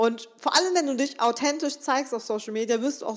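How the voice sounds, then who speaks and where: Lively intonation and a fairly quick pace mark a woman's speech. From western Germany (Remscheid). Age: 20s. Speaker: podcast host, self-employed social media entrepreneur. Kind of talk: solo motivational podcast talk. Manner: enthusiastic, animated.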